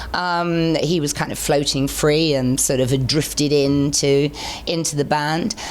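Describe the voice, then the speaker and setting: With an English accent, a woman speaks in a very deep, low pitch at a fairly slow pace, keeping her intonation fairly even and her loudness very even. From England. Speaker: singer. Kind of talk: interview answer.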